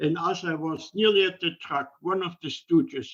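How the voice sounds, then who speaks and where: Talking at a fairly slow pace, a man with a German accent uses a high pitch and lively intonation. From Germany. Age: 80s+. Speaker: Holocaust survivor. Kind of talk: interview answer.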